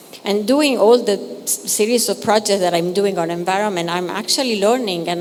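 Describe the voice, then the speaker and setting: A woman's medium-pitched voice with an Italian accent at a moderate pace, over noticeable background noise. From Italy. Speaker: curator. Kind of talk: artist talk introduction. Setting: gallery talk with audience. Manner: halting, many fillers.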